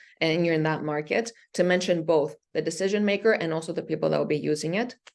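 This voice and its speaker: A woman's fairly low pitch and fairly even intonation against a quiet background. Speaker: startup venture manager, workshop speaker. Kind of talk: workshop presentation. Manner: fast.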